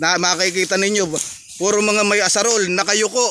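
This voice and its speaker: A man with a high pitch uses a raised, projected voice. Noticeable background noise sits behind him. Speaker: farmer vlogger. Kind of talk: casual talk to camera.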